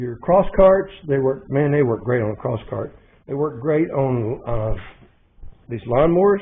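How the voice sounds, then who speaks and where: A man with an Arkansas accent speaks at a fairly slow pace. His pitch is fairly high and his intonation lively. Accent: Southern US (Arkansas). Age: 70s. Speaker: motorcycle mechanic YouTuber. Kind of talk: casual workshop vlog. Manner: animated.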